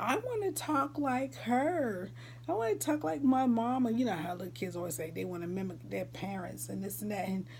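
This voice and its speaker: An American accent at a moderate pace, with noticeable background noise and audible room echo. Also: woman. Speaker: vlogger. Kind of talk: casual chat.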